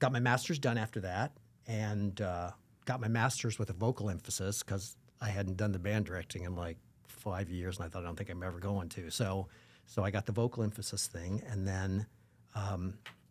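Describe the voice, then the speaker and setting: Fairly quick and fairly even in intonation, a man speaks at a fairly low pitch in an unremarkable speaking voice. The recording is very clean, with a silent background. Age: 60s. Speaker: performer and educator. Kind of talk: casual interview.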